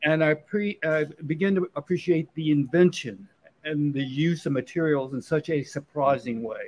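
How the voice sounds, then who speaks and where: A normal speaking voice from a man, fairly high in pitch, at a moderate pace with an American accent. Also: ordinary pitch variation. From Virginia. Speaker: painter. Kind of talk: casual interview. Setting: live show at a restaurant.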